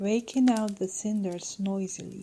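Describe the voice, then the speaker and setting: Soft-spoken and somewhat breathy, a woman talks at a fairly slow pace with a dark, mellow tone. Her pitch sits in the middle range and varies in an ordinary way. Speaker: audiobook reader.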